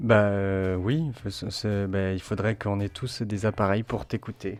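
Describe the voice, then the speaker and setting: Intonation stays fairly even as the words come very slowly. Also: man, fairly low pitch for a man. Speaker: podcast co-host. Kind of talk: casual chat.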